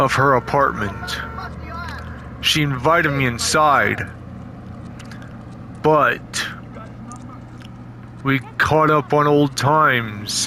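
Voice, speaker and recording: A man puts on a character voice at a medium pitch and a very slow pace. Background noise is clearly heard. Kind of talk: casual amateur horror narration. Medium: read story. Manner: rambling, repetitive.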